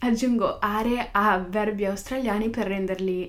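A woman at a fairly slow pace with fairly even intonation and audible room echo. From northern Italy. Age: young. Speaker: podcaster. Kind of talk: casual monologue. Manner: halting, with many fillers.

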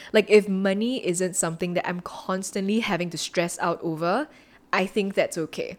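A woman with a medium-pitched, unremarkable speaking voice talks at a moderate pace with ordinary pitch variation. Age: 20s. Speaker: podcast host. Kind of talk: casual chat.

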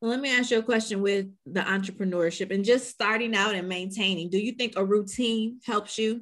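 A woman speaks at a fairly quick pace with fairly even intonation. She has a medium pitch and an ordinary speaking voice. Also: hardly any pauses. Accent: American. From Chicago. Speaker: podcast host. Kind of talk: interview.

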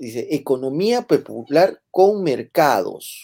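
A man speaks with lively intonation in a dark, mellow tone. The recording is very clean and the background silent. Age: 40s. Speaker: political commentary host. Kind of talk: political talk show.

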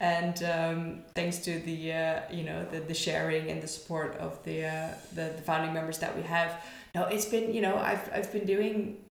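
A woman with a fairly low pitch speaks at a fairly slow pace with hardly any pauses and fairly even intonation, over noticeable background noise. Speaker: barista and coffee community founder. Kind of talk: casual interview. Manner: loud.

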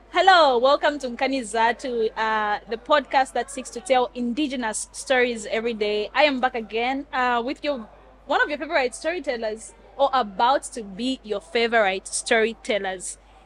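Over music in the background, a woman speaks at a moderate pace in a high pitch. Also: ordinary pitch variation. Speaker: podcast host. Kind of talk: casual interview.

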